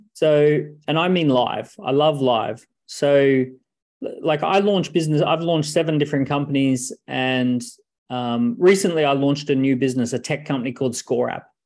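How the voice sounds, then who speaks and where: At a moderate pace, the speaker uses ordinary pitch variation in an Australian accent. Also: man, fairly high pitch for a man. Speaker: entrepreneur and author. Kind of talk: interview.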